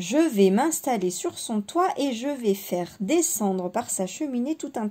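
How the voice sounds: Intonation is lively in this natural reading voice.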